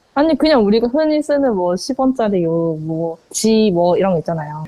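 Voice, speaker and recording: A woman's medium-pitched voice in a strong Gyeongsang accent, with very wide pitch swings at a moderate pace. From Ulsan, Korea. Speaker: customer consultant. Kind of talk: interview answer. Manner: casual, conversational.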